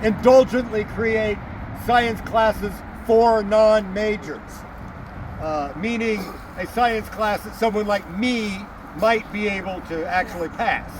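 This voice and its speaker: Over noticeable background noise, a man talks loudly at a high pitch and a fairly slow pace, with long, frequent pauses. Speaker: historian and battlefield tour guide. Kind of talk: outdoor guided tour talk. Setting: outdoors.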